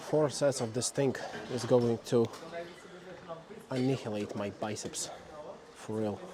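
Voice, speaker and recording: The speech comes at a fairly slow pace with long, frequent pauses and fairly even intonation over noticeable background noise. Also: man, medium pitch for a man. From Slavic country. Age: 20s. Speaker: fitness vlogger. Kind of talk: gym vlog monologue. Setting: gym. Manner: casual, conversational.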